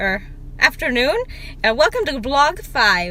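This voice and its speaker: Speech at a moderate pace comes through with music in the background. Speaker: vlogger. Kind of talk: casual vlog. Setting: public places, store and IKEA.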